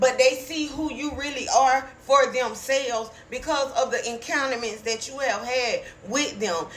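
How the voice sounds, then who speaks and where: An animated woman with a high pitch and ordinary pitch variation talks at a moderate pace amid noticeable background noise and audible room echo. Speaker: online preacher. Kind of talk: prophetic sermon.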